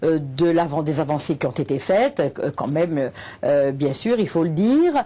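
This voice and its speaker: A woman's dark, mellow voice with a fairly low pitch. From Corsica, Bastia. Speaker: teacher and activist. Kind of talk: TV interview. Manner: halting, many hesitations.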